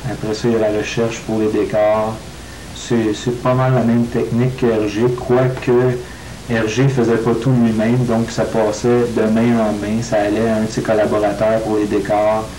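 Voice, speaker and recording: A man with a Quebec accent talks fairly slowly at a medium pitch, with monotone, flat intonation and very even loudness. Noticeable background noise can be heard. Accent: nasal Quebec French. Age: 20s. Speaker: comic book artist. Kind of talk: interview answer.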